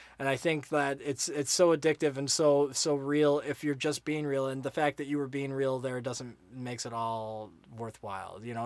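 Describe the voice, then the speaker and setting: Fairly even intonation runs through speech delivered at a fairly quick pace. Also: man. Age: 30s. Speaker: podcast host. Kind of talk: casual chat. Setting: studio. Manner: halting.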